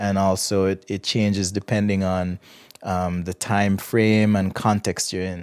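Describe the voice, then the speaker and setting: Recorded very cleanly over a silent background, a man with an American accent speaks at a fairly low pitch in a dry, close sound with no echo. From Jamaica. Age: 30s. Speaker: interview guest. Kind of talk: interview. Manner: hesitant, with fillers.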